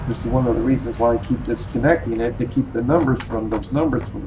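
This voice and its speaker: With noticeable background noise behind him, a man speaks at a fairly quick pace in a medium pitch with fairly even intonation. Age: 60s. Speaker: gaming YouTuber. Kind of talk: game review commentary. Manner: halting, many fillers.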